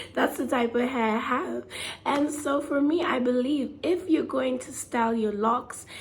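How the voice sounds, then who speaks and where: Lively intonation in a woman's high-pitched speech. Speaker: hair care vlogger. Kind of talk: casual talk to camera.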